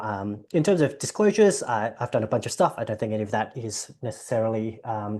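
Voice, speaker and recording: A man with an Australian accent talks in a fairly low, dark, mellow voice against a quiet background. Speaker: general practitioner. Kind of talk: presentation. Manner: fast.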